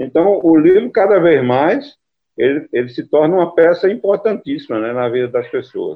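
A man with a high pitch, very wide pitch swings and a moderate pace. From Brazilian Northeast (Caruaru, Pernambuco; Campina Grande, Paraíba). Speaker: poet and book editor. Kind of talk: interview.

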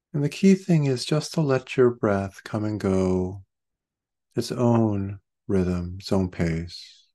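A man speaks very slowly at a fairly low pitch, with lively intonation and a gentle, calm tone. His dark, mellow tone stands out against a quiet background. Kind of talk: guided meditation. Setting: video call class. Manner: slow, calm, soothing, with long pauses; gentle, soft-spoken, unhurried instruction.

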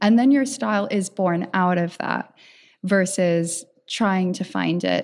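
A woman's medium-pitched voice, very slow in pace, with lively intonation. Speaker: podcast host. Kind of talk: interview. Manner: enthusiastic.

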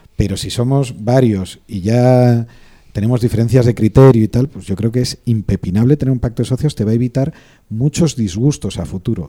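Dry and close with no echo, a man's medium-pitched voice with a dark, mellow tone moves at a moderate pace with ordinary pitch variation. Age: 40s. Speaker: lawyer advising startups and investors. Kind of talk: casual chat.

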